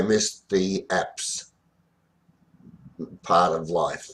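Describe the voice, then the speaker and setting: At a very slow pace, a man with an Australian accent uses a very deep, low pitch and fairly even intonation. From Australia, rural central Victoria. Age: 60s. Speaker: memoir narrator. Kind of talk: informal autobiographical narration. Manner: halting, many fillers.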